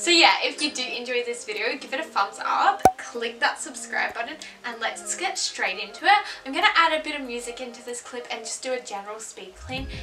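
A woman at a fairly quick pace over clear background music. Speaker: home vlogger. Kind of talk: casual vlog chat. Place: home room. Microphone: camera far.

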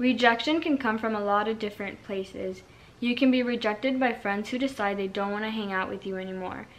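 Fairly even intonation marks a woman's voice at a moderate pace. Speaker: vlogger. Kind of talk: casual vlog chat. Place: home room. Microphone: camera far.

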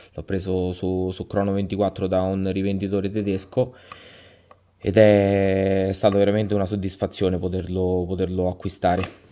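The voice has a dark, mellow tone and a monotone, flat intonation at a moderate pace. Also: man, very deep, low pitch for a man. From central Italy (Lazio). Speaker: viewer presenting his watch collection. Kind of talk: casual self-recorded video presentation. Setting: self-recorded video. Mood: enthusiastic, satisfied. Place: home room.

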